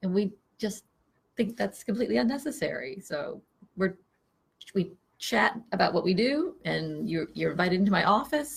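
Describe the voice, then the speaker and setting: A woman talks at a fairly quick pace, with vocal fry. Her pitch swings very widely. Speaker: psychotherapist. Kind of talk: casual chat. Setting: office. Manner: quiet, low talker. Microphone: no microphone.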